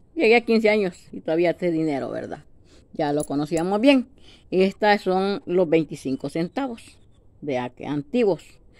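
Against a quiet background, a woman with a Salvadoran accent talks at a fairly slow pace with lively intonation. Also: fairly low pitch for a woman. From El Salvador. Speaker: video blogger. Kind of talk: casual monologue to camera. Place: home room. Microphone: phone near.

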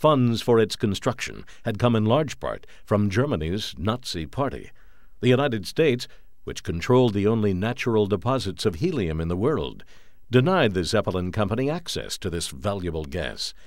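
A man with vocal fry and a fairly low pitch speaks at a moderate pace, his pitch swinging very widely. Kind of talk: documentary narration.

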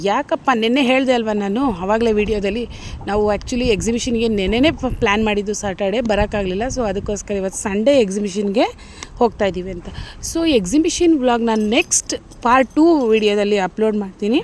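Noticeable background noise behind a woman's fairly high pitch with ordinary pitch variation. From Mysore, Karnataka, India. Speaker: YouTube vlogger. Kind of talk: travel vlog narration.

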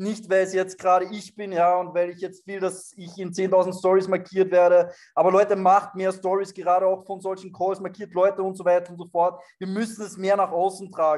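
A man speaks in a high pitch with a monotone, flat intonation. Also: moderate pace, quiet background. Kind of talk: motivational talk on a group call. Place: home room. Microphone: webcam.

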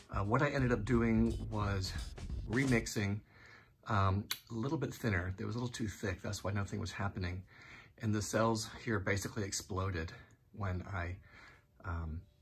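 A man's somewhat breathy voice with long, frequent pauses over light background noise. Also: fairly low pitch for a man, ordinary pitch variation, moderate pace. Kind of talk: casual vlog chat. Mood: relaxed, mildly pleased. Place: home room. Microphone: phone near.

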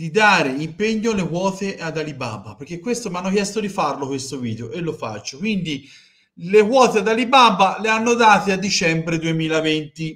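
There is a quiet background as a man talks at a moderate pace with lively intonation. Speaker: football fan streamer. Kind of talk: commentary. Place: home room. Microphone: headset.

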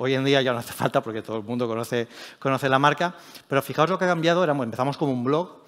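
Someone talks at a very fast pace with ordinary pitch variation over a quiet background. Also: man, medium pitch for a man. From Spain, Elche (Alicante); Spain. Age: 40s. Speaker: tech journalist and editor; tech journalist. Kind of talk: conference talk. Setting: stage with audience. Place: stage.

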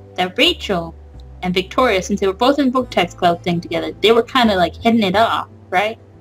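Music plays in the background. A woman speaks at a fairly quick pace. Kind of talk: casual let's-play commentary. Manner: casual, animated, reacting and theorizing about the game.

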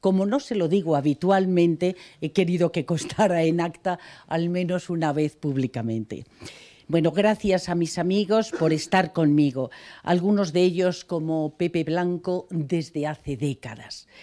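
A woman talks slowly at a fairly low pitch with a dark, mellow tone. Her pitch varies in an ordinary way over a quiet background. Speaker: journalist. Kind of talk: acceptance speech. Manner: reading from notes. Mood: warm, grateful. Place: hall. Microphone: podium.

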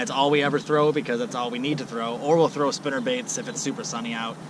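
A man speaks at a medium pitch with fairly even intonation. Background noise is clearly heard.

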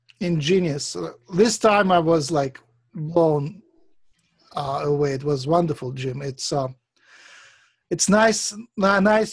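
Against a quiet background, the speaker moves at a very slow pace with lively intonation. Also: man. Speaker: Reiki teacher. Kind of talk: online workshop teaching. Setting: video call. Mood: warm, enthusiastic. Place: home room. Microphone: video call.

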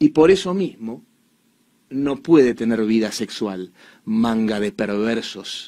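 A man with a Rioplatense accent speaks very slowly against a quiet background. His tone is dark and mellow, his intonation lively. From Argentina. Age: 30s. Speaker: commentator. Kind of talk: monologue commentary. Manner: animated. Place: studio. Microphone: studio mic.

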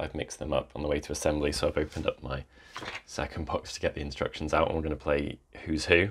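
Light background noise sits behind the recording. A man talks at a very fast pace. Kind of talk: casual vlog chat. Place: home room.

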